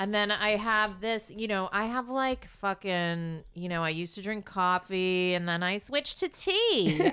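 Noticeable background noise sits behind a woman with an American accent. She talks at a medium pitch and a fairly slow pace. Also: ordinary pitch variation, hardly any pauses. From US Northeast, New York City. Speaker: actor. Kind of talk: casual chat. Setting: living room at home.

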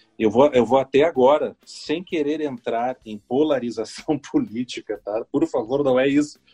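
A man's fairly high voice, dark and mellow in tone, at a fairly slow pace with hardly any pauses, ordinary pitch variation and a dry, close sound with no echo. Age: 40s. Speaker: radio broadcaster. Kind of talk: casual interview chat. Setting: podcast interview. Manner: halting, many repetitions.

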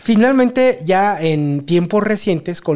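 This man's tone is dark and mellow. He speaks with a Mexican accent. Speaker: podcast co-host. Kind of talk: casual chat.

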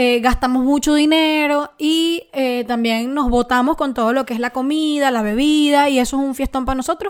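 A woman speaks in a Venezuelan accent at a high pitch. Her delivery has a moderate pace, hardly any pauses and fairly even intonation. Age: 20s. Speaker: podcast co-host. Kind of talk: casual chat.

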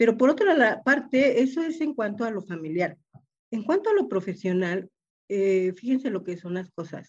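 This woman's voice sits at a fairly high pitch and swings very widely up and down. She talks at a moderate pace. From Mexico, Oaxaca. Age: 70s. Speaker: engineering lecturer. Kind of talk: panel discussion.

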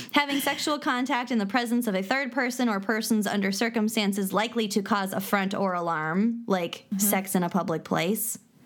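A woman with an American accent talks in a plain, everyday voice at a fairly high pitch and a fairly quick pace, with ordinary pitch variation and very even loudness. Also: hardly any pauses. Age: 30s. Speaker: podcast co-host. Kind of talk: casual chat with reading of definitions.

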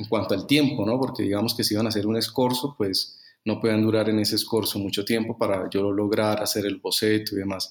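A man talks in a normal speaking voice at a fairly quick pace with hardly any pauses. His pitch is fairly low and his intonation fairly even. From Colombia, Bucaramanga. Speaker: fashion photographer. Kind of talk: interview.

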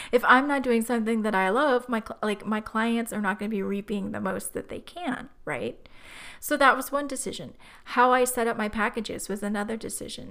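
The woman's voice sits at a fairly high pitch with ordinary pitch variation. She speaks at a fairly quick pace. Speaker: podcast host, retreat planner. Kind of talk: solo podcast monologue. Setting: home office.

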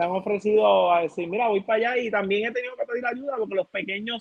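A man with a Puerto Rican accent talks at a fairly quick pace, his pitch high with ordinary pitch variation. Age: 20s. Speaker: youth basketball coach. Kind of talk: casual interview.

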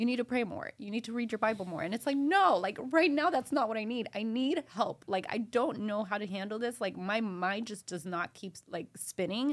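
With an American accent, a woman speaks at a moderate pace in a fairly high pitch, using lively intonation and hardly any pauses. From Miami, Florida (Kendall, Homestead); Nicaraguan family. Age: 30s. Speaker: wedding photographer. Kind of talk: casual interview conversation.

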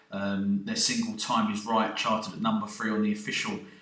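A man's voice with noticeable background noise. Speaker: radio show presenter. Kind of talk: radio DJ patter introducing tracks.

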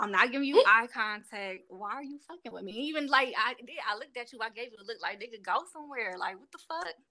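Hardly pausing, a woman speaks at a very fast pace in a high, bright, sharp voice. Her intonation is lively. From Cleveland, Ohio. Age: 20s. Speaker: podcast guest. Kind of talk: casual chat.

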